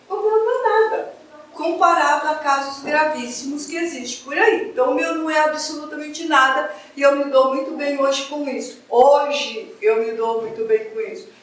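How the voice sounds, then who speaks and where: Lively intonation marks a woman's high-pitched voice at a moderate pace. Noticeable background noise and audible room echo surround her. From Brazil, Paraguay/Argentina border region. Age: 60s. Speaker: spiritist lecturer. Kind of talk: spiritist lecture.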